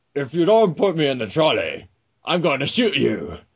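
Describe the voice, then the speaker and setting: Speaking at a moderate pace, a man puts on a character voice. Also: fairly high pitch for a man. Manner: threatening.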